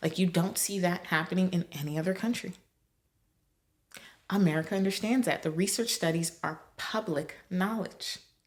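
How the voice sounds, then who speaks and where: The voice is somewhat breathy and animated in tone, with ordinary pitch variation. It moves at a moderate pace over a quiet background. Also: woman, medium pitch for a woman. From Nigeria. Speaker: podcast host. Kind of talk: podcast monologue. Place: home room. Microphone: studio mic.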